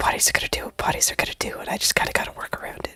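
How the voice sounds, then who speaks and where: Someone whispers at a very fast pace amid noticeable background noise. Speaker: vtuber artist streamer. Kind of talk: casual chat while drawing. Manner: whispering.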